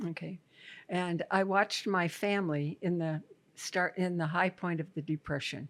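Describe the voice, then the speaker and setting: On a very clean recording with a silent background, a woman with a Midwestern American accent speaks at a fairly low pitch with fairly even intonation. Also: moderate pace. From Iowa, USA. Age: 80s+. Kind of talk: interview answer.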